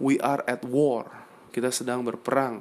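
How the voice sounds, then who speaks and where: An animated tone carried along at a moderate pace. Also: man. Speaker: entrepreneur and community founder. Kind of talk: motivational monologue.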